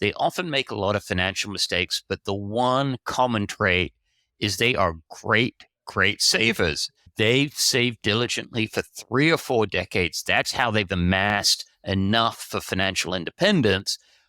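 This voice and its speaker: A man speaks at a moderate pace in a fairly low pitch, with a bright, sharp tone and ordinary pitch variation. The recording is very clean and dry, close with no echo, a silent background and very even loudness. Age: 60s. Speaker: personal finance writer and editor. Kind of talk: podcast interview.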